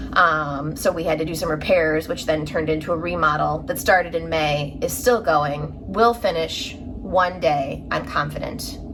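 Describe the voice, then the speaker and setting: With a Chicago accent, a woman of very deep, low pitch speaks at a moderate pace with ordinary pitch variation and hardly any pauses, amid noticeable background noise and audible room echo. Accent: Chicago Midwestern. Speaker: craft vlogger. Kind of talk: casual chat. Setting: home front room.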